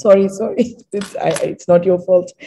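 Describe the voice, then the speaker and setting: A somewhat breathy woman's voice at medium pitch, dark and mellow in tone, with ordinary pitch variation and a moderate pace. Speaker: panelist. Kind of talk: panel discussion. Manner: halting.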